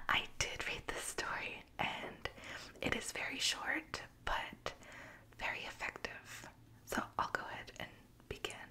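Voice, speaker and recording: A woman's whisper at a very slow pace over noticeable background noise. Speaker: ASMR creator reading Reddit stories. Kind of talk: story narration with commentary. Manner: whispered, soft-spoken.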